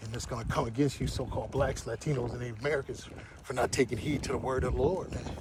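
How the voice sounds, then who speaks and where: Amid noticeable background noise and audible room echo, a man at medium pitch speaks at a fairly quick pace with lively intonation. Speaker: religious livestreamer. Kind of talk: walking livestream monologue. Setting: outdoors, walking. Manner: fast.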